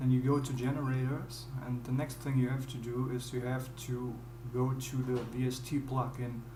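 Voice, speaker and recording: Monotone, flat delivery in a German accent at a moderate pace, with noticeable background noise. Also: man. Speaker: music producer. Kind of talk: tutorial. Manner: halting. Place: home room.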